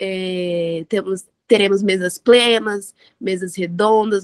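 Very slow and with fairly even intonation, the voice sounds dry and close, with no echo. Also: woman. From Vitória, Espírito Santo, Brazil. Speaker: student organizer. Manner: halting.

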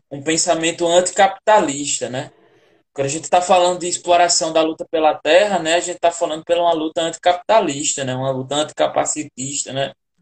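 The sound is dry and close with no echo as a man talks at a fairly quick pace in a high pitch, his intonation fairly even. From Brazilian northeast, inland Rio Grande do Norte (sertão). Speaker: theatre artist hosting a live interview series. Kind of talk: casual interview. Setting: online live video call.

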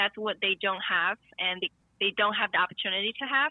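A woman with a medium-pitched voice speaks with a Chinese accent. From China. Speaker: guest interviewed about tango. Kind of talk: casual interview chat. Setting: phone call.

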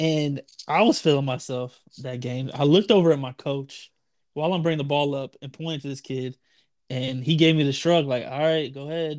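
On a very clean recording with a silent background, a man in an ordinary speaking voice talks at a fairly quick pace, fairly high in pitch with fairly even intonation but big swings in loudness. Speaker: podcast co-host. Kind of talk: casual chat.

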